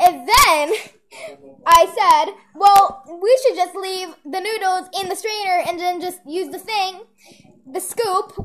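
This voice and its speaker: A woman's extremely high voice at a very slow pace, with ordinary pitch variation and light background noise. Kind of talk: casual vlog chat. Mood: amused, laughing storytelling. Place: kitchen. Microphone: phone near.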